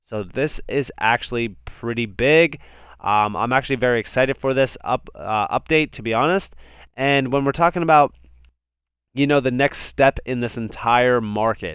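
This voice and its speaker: A man at a medium pitch with ordinary pitch variation, in a dry, close sound with no echo against a quiet background. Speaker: crypto YouTuber. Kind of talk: market analysis video. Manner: fast.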